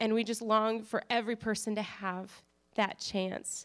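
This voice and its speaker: On a very clean recording with a silent background, the speaker has an American accent. The intonation is monotone and flat, the pace fairly slow. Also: woman. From North Dakota. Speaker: missionary. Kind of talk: testimony. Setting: church.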